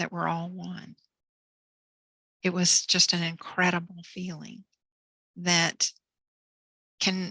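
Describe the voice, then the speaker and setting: A woman's very slow, flat, monotone delivery at a fairly low pitch, bright and sharp in tone, with big swings in loudness, long and frequent pauses, and a dry, close sound with no echo. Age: 60s. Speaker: author and near-death experience speaker. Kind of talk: interview testimony. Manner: halting.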